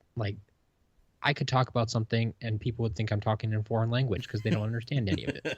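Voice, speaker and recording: Somewhat breathy and very fast, the speaker has a Wisconsin accent and fairly even intonation. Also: man, medium pitch for a man. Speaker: podcast co-host. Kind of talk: casual chat.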